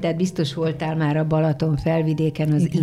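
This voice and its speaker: Amid noticeable background noise, a woman with a very deep, low pitch speaks at a fairly quick pace in a flat monotone. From Hungary, Szolnok area. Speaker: former TV announcer. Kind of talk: casual chat. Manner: clear trained diction.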